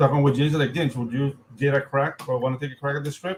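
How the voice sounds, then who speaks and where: Somewhat breathy, a man with a Spanish accent talks at a fairly high pitch. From Panama. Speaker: comic book artist and writer. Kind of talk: casual chat.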